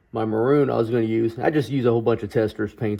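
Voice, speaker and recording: This man speaks at a very fast pace. His voice has a medium pitch. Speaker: model train hobbyist. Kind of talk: hobby tutorial. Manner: casual, halting with fillers.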